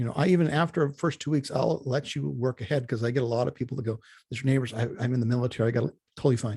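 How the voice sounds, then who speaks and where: A man speaks at a very fast pace, with medium pitch and ordinary pitch variation. His tone is dark and mellow, and somewhat breathy. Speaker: college instructor. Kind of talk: online class orientation. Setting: video call. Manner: animated.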